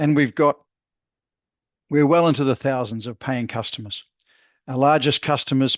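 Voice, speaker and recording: With a New Zealand accent, a man speaks in a fairly high pitch. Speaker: channel partnerships manager. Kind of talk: webinar presentation. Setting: video call.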